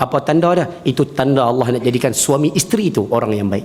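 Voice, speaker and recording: With an animated tone, a man speaks at a medium pitch with ordinary pitch variation. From northern Peninsular Malaysia. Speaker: religious teacher. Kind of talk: religious lecture. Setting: mosque with audience.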